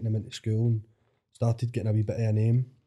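Very fast and monotone, a man with a Glaswegian accent speaks at medium pitch in a somewhat breathy voice with a dark, mellow tone. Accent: Glaswegian Scottish. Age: 30s. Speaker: DJ. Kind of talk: casual chat. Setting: studio.

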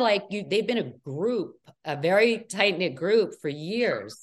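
In an American accent, a woman speaks at a fairly slow pace with vocal fry. Her pitch swings very widely. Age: 50s. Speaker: reality TV cast member. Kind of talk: interview.

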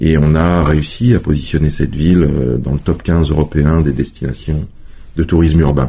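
Against noticeable background noise, the voice keeps very even loudness and fairly even intonation at a moderate pace. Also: man, very deep, low pitch for a man. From France, Savoie (Chambéry area). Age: 40s. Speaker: tourism agency director. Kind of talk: interview.

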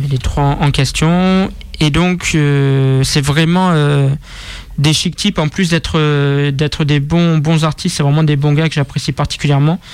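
The speaker's intonation is flat and monotone, with noticeable background noise behind it. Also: man. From Marseille, southern France. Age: 20s. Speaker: rap media founder. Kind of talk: casual interview. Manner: halting.

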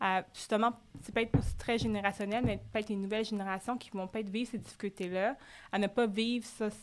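A woman speaks at a fairly quick pace in a medium pitch with flat, monotone intonation, on a very clean recording with a silent background. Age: 30s. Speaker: podcast host and boutique founder. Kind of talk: casual interview.

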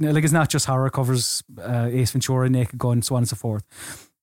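Recorded very clean with a silent background and a dry, close sound with no echo, a man in a normal speaking voice talks at a fairly quick pace with a fairly high pitch and fairly even intonation. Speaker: podcast host. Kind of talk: casual chat.

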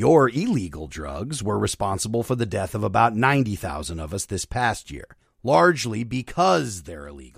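An American man with a fairly low pitch and vocal fry talks at a moderate pace, with very wide pitch swings and big swings in loudness. The recording is very clean, with a silent background. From northeastern Pennsylvania, Luzerne County. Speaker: podcast host. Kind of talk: scripted narration with commentary. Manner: animated.

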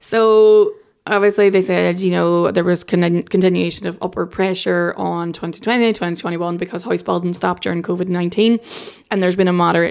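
This woman has an Irish accent and a fairly low pitch. Her intonation stays fairly even. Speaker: journalist. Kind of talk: casual chat.

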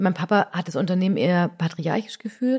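A woman talks at a fairly quick pace in a medium, somewhat breathy voice with ordinary pitch variation. The recording is very clean, with a silent background. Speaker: cosmetics company executive. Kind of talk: casual chat.

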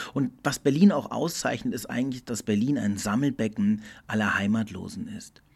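Captured in a very clean recording with a silent background, a man speaks in an ordinary speaking voice at a medium pitch and a moderate pace. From Portugal, German school. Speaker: podcast host. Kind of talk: solo reflective monologue. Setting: studio. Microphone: good studio equipment.

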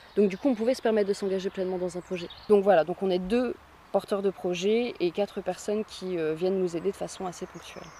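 At a medium pitch, a woman talks at a fairly quick pace with fairly even intonation, in an ordinary speaking voice. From northern France, Béthune area. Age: 20s. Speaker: eco-project co-founder, actress and musician. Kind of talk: interview.

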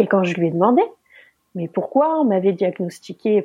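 Speaking in a medium pitch, a woman keeps to a moderate pace. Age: 30s. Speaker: mother sharing childbirth injury story. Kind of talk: personal testimony.

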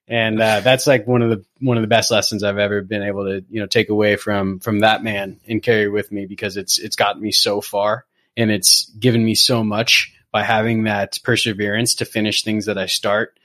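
On a very clean recording with a silent background, a man with an American accent talks at a fairly quick pace with hardly any pauses, his fairly low voice monotone and flat. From US West Coast (Southern California). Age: 30s. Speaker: structural engineer. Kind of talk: casual chat.

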